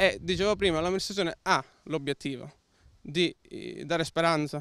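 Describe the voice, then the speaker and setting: At a moderate pace, a man speaks in a plain, everyday voice with fairly even intonation, a dry sound with no echo, and light background noise. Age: 20s. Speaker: local politician. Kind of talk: interview. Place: open country. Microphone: handheld.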